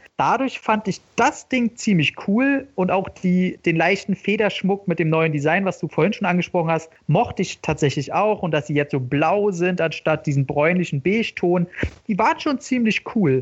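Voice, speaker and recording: A man speaks with a high pitch and lively intonation at a moderate pace. His loudness stays very even. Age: 30s. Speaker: podcast co-host. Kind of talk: casual chat.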